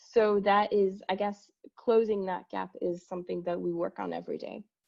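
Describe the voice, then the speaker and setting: This woman speaks with a French accent. Her pace is moderate. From France. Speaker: company executive. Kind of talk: conference presentation.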